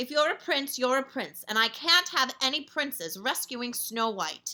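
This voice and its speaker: A woman's put-on character voice, croaky and high-pitched. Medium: read story.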